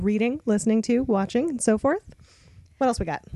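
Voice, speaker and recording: Speaking at a fairly quick pace, a woman has an unremarkable speaking voice, fairly high in pitch, recorded with a dry, close sound and no echo. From Canada, Toronto. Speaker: librarian podcast co-host. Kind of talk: casual chat.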